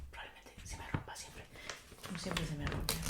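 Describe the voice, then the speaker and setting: A woman whispers in a playful tone. Noticeable background noise sits behind her. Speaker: ASMR content creator. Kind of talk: ASMR roleplay, casual talk to camera. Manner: playful, chatty, soft-spoken.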